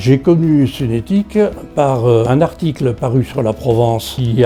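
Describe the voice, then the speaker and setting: With music in the background, a man speaks at a fairly slow pace with lively intonation. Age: 70s. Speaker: retired customer giving testimonial. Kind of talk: interview testimonial. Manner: hesitant with frequent fillers.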